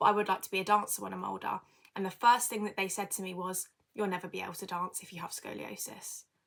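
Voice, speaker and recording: With a British accent, a woman speaks at a very fast pace in a medium pitch and a flat, monotone delivery. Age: 20s. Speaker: podcast host, dance student. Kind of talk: casual personal monologue. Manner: hesitant with many fillers.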